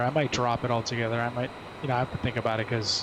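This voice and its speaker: Over noticeable background noise, a man with a New Jersey accent speaks in a relaxed tone with monotone, flat intonation. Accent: New Jersey American English. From US, New Jersey. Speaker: flight sim streamer and flight attendant. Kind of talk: casual live stream chat. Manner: relaxed, hesitant with fillers.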